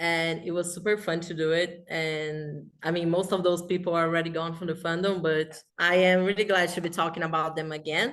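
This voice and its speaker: A woman with a Portuguese accent, fairly low in pitch, flat and monotone, moving at a fairly quick pace with hardly any pauses. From Brazil. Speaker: fanfiction writer. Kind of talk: casual chat.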